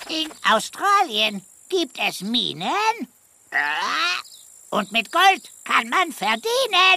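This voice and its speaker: A put-on character voice speaks in a high pitch with very wide pitch swings. The pace is very slow, with long, frequent pauses. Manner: silly, speaks in rhymes.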